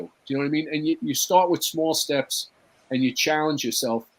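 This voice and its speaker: A man's fairly high-pitched, an unremarkable speaking voice. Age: 60s. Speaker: actor and firefighter. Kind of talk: casual chat. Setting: live talk show.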